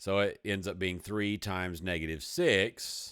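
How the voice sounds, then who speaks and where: On a very clean recording with a silent background, a man speaks in a Texas accent. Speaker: math teacher. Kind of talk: video lesson. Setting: hot room. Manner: casual, conversational.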